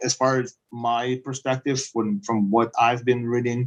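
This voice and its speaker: A man speaks with a Belarusian accent at a fairly slow pace. His pitch is medium. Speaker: project management consultant. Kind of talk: webinar presentation. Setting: live online webinar. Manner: halting, many fillers. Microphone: echo.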